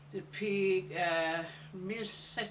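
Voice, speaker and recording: A woman talks at a medium pitch with fairly even intonation. Noticeable background noise runs underneath. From Jersey. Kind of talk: interview answer.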